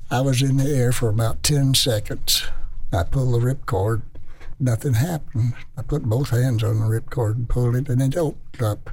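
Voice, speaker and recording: This man's voice is somewhat breathy, with ordinary pitch variation and very even loudness. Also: medium pitch for a man, moderate pace. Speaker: World War II veteran, former bomber crewman and POW. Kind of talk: elder life story. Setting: radio interview.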